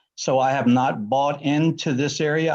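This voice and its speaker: Over a quiet background, a man talks at a fairly slow pace with an American accent. His pitch is fairly high, and it is an ordinary speaking voice. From Washington County, Maryland, US. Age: 50s. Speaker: neighbouring landowner. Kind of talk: public testimony.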